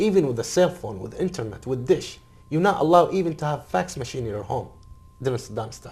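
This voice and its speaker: Speaking very fast with an Arabic accent, a man makes very wide pitch swings and big swings in loudness. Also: fairly high pitch for a man. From Iraq. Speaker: Iraqi refugee and former military interpreter. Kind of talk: interview. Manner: halting.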